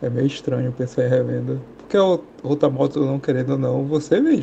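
There is light background noise. Over it, a man speaks at a very fast pace. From Pará, Brazil. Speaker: listener sending a question; motorcycle channel host. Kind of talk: recorded voice message question; casual commentary. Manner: mumbled, hard to understand; halting. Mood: puzzled, thoughtful. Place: home room. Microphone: studio mic.

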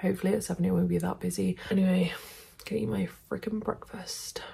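A woman speaks very fast. Her loudness stays very even. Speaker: vlogger. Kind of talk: casual vlog chat. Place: home room. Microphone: phone near.

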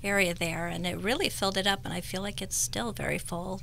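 A woman talks at a fairly quick pace with an American accent. Light background noise can be heard. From Northern California. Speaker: cosmetic patient, esthetician. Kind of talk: radio interview, testimony. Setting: radio studio. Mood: warm, appreciative. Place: studio. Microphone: studio mic.

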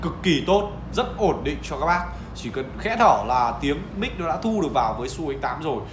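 Fairly high-pitched man's voice at a fairly quick pace, lively intonation, clear background noise

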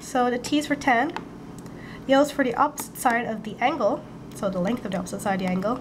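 A woman speaks very fast at a high pitch with ordinary pitch variation. Noticeable background noise runs underneath. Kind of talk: math tutorial voiceover. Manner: casual, conversational.

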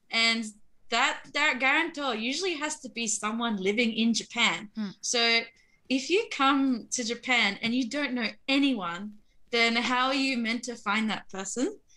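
Speaking very slowly, a woman has a high pitch and a bright, sharp tone. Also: ordinary pitch variation. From Australia. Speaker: share house resident. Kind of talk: interview. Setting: remote call. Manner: halting.

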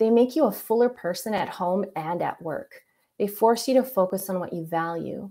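A woman speaks at a moderate pace with a medium pitch, ordinary pitch variation and a dark, mellow tone against a quiet background. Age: 40s. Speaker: user experience architect; presenter. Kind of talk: presentation. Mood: reflective personal story. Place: home room. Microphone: webcam.

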